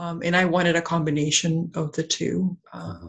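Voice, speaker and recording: Speaking in a flat monotone, a woman sounds somewhat breathy at a fairly low pitch. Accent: Canadian. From Canada, raised in Whitby, Ontario (born in Peru). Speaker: wellness centre co-owner and coach. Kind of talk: interview. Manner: hesitant, many fillers.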